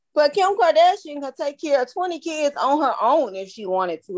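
A woman with a Louisiana accent talks at a moderate pace with hardly any pauses. Her high voice moves in very wide pitch swings. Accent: US Southern, Louisiana. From Baton Rouge, Louisiana. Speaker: podcast co-host. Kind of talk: casual chat.

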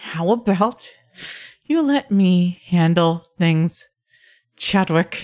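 A female-sounding voice in a put-on character voice sits at medium pitch and sounds strained. It moves at a very slow pace with long, frequent pauses. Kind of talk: forced polite. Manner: through gritted teeth, strained politeness.

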